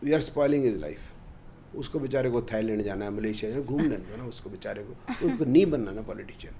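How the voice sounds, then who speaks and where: With a plain, everyday voice, a man at a medium pitch speaks with lively intonation and big swings in loudness. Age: 60s. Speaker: astrologer. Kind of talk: podcast interview.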